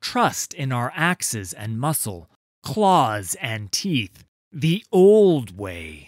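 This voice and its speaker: A man's put-on character voice at medium pitch, very slow, with very wide pitch swings. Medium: read story. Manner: grave, blunt.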